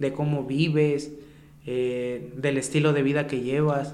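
With fairly even intonation, a man with a fairly high pitch speaks through noticeable background noise and audible room echo. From Mexico, Xalapa area (San Bruno). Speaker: street rapper. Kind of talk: casual chat.

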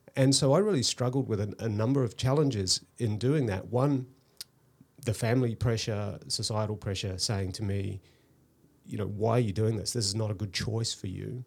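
Somewhat breathy and fairly low-pitched, a man with a New Zealand accent speaks at a moderate pace with ordinary pitch variation. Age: 50s. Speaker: hairstylist and tech entrepreneur. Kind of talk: casual interview. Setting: studio.

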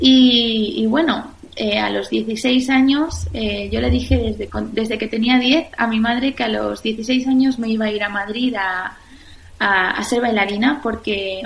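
Speaking in a fairly high pitch, a woman sounds somewhat breathy, with ordinary pitch variation. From Spain, Valencia region. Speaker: restaurant founder and former dancer. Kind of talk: interview. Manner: hesitant with frequent repetitions.

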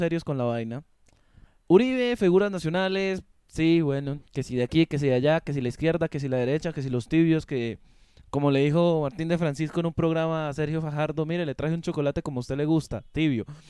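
A man speaks with a fairly high pitch and a dark, mellow tone. The background is quiet. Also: dry, close sound with no echo. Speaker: podcast host. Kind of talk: casual chat.

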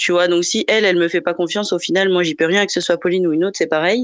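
Here a woman uses an ordinary speaking voice at medium pitch. Her intonation stays fairly even. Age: 20s. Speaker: podcast guest sharing a personal love story. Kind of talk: casual chat. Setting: live podcast recording.

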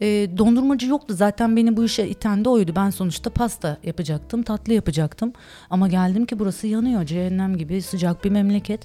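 Somewhat breathy, a woman at medium pitch speaks in a dark, mellow tone at a fairly quick pace with ordinary pitch variation. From Turkey (Istanbul and Ankara). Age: 40s. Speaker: ice cream and dessert shop owner. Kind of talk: casual interview chat.

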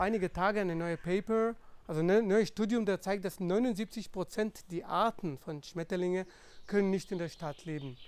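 The speaker has a non-native accent, a moderate pace and ordinary pitch variation. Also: man. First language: non-native German speaker (speaking German). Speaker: scientist and conservation volunteer. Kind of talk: podcast interview. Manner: halting, many fillers.

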